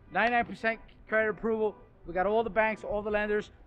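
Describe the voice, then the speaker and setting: A man's fairly even intonation over faint background music. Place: street.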